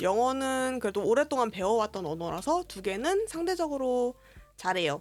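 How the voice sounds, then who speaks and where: Background music plays throughout. The speaking pace is moderate. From South Korea. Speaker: streamer. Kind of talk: casual live stream chat.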